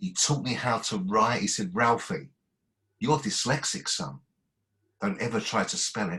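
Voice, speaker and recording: With an Essex accent, the voice has a bright, sharp tone and lively intonation at a moderate pace, broken by long, frequent pauses. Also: man, medium pitch for a man. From Basildon, Essex, England. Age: 50s. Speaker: poet. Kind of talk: reading aloud. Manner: halting.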